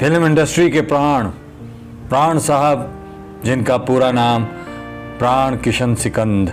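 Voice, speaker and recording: Music sounds behind the voice. Its intonation is lively. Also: man. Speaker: voice-over narrator. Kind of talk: documentary biography narration.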